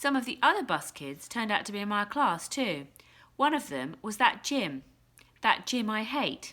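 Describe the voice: The clip is plain reading aloud.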